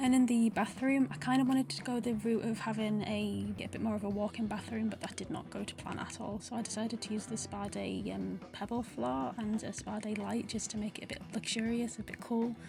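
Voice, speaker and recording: A woman with a northern English accent at a fairly quick pace with hardly any pauses, over music in the background. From Northern England. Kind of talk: casual gaming voiceover. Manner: nervous, chatty.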